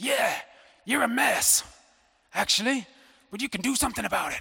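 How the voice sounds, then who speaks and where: Putting on a character voice, a man with an American accent talks fairly quickly at an extremely high pitch. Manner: blunt, tough-love.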